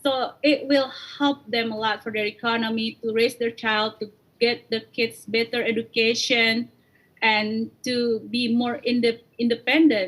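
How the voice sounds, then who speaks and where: This woman has an Indonesian accent and a fairly high pitch. She talks at a fairly slow pace in a monotone, flat intonation. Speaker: coffee company founder. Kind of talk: interview.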